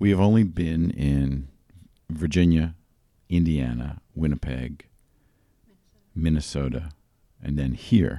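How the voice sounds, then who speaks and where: Speaking very slowly with long, frequent pauses, a man with a very deep, low voice and an American accent uses ordinary pitch variation. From eastern Pennsylvania. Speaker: actor and playwright. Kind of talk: casual chat. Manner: halting.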